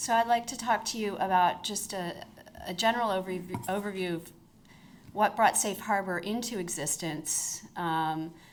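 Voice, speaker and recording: A woman talks at a moderate pace and medium pitch with ordinary pitch variation, and audible room echo surrounds her voice. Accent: American. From United States. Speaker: corporate lawyer. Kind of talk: conference talk. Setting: conference stage with audience.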